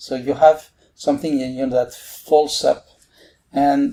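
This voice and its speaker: Speaking with a French accent at a fairly slow pace, a man uses a fairly high, dark and mellow voice with ordinary pitch variation. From France. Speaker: mathematics professor. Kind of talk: podcast interview. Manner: halting, many fillers.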